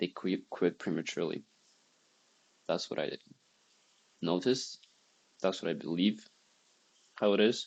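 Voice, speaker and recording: A quiet man with a non-native accent, very deep and low in pitch, ordinary pitch variation, at a moderate pace. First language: not English. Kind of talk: casual talk to camera.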